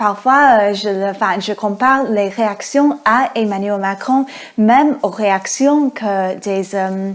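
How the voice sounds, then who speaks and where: At a very slow pace, a woman with an American accent speaks at a fairly high pitch with ordinary pitch variation. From United States. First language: English (speaking French). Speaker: podcast host. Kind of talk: interview. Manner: hesitant, many fillers.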